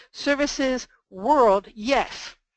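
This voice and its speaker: A woman speaks at a high pitch with ordinary pitch variation in a dry, close sound with no echo. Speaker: ghostwriting teacher. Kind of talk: webinar presentation. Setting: conference call. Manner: fast.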